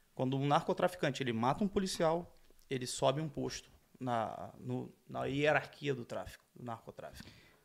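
In a very clean recording with a silent background, a man speaks at a moderate pace in a fairly high pitch with lively intonation and vocal fry. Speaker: former police officer. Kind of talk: casual chat.

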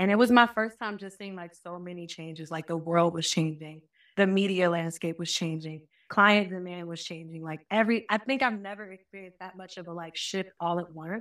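A woman with an American accent and an unremarkable speaking voice, fairly low in pitch, at a fairly quick pace with fairly even intonation and big swings in loudness, on a very clean recording with a silent background. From US South, Georgia (Marietta, Cobb County). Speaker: social media marketer. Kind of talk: casual interview chat.

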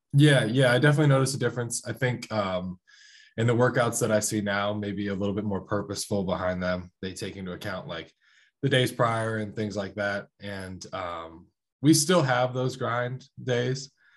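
Over a quiet background, a man with an unremarkable speaking voice talks at a moderate pace in an American accent. His pitch is fairly low, with ordinary variation. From Columbus, Ohio. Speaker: college wrestler. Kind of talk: casual chat.

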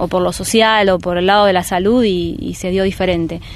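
Against noticeable background noise, a woman talks fairly quickly at a medium pitch in a monotone, flat intonation. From rural Buenos Aires province, Argentina. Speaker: teacher and community organizer. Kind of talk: interview. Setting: outdoors.

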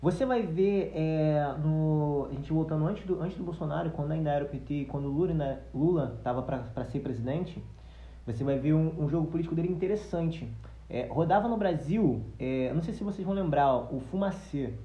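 The speech moves at a moderate pace with ordinary pitch variation, and audible room echo hangs around it. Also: man, fairly high pitch for a man. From Brazil, Nilópolis (Rio de Janeiro area). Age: 20s. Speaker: agronomist and musician. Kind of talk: casual chat.

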